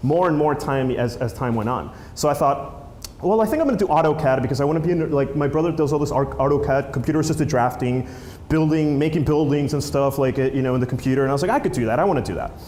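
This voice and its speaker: A man's very fast voice, fairly high in pitch, with ordinary pitch variation, very even loudness and audible room echo. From Peru, moved to New Jersey as a child. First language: Spanish. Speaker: filmmaker and app creator, conference speaker. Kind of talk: conference talk. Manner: casual, many fillers and restarts.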